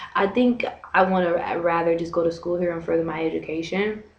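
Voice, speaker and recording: Speaking fairly quickly with an American accent, a woman uses a medium pitch and ordinary pitch variation, with audible room echo and noticeable background noise. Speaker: vlogger and English teacher. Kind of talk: casual vlog. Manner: fast; animated.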